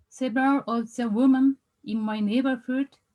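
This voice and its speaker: A woman with a Japanese accent, a dark, mellow tone and a fairly slow pace, in a dry, close sound with no echo. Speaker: researcher. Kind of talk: conference presentation. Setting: video call. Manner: halting.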